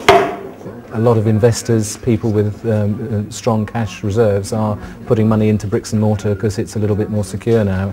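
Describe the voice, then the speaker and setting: A man's fairly low, monotone, flat voice amid noticeable background noise. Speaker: auctioneer. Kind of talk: interview answer.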